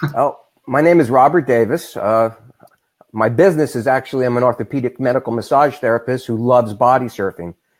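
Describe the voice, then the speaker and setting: A man talks at a fairly quick pace with a New York accent. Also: medium pitch for a man, ordinary pitch variation. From New York, Long Beach. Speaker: massage therapist and bodysurfing product maker. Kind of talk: interview.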